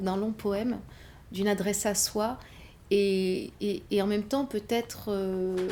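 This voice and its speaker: Delivered with a North African accent, the speech is very slow. The tone is dark and mellow, and the intonation is monotone and flat. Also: woman. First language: Berber (speaking French). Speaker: novelist. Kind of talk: interview. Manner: halting.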